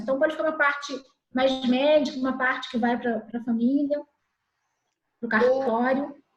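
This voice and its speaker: A high-pitched woman's voice at a fairly quick pace. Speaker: civil registry officer. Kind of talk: webinar panel discussion. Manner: fast.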